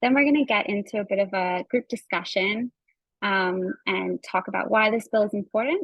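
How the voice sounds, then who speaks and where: A normal speaking voice comes through at a moderate pace with ordinary pitch variation. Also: woman, medium pitch for a woman. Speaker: environmental community campaigner. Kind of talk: online workshop presentation. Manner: frequent fillers (um).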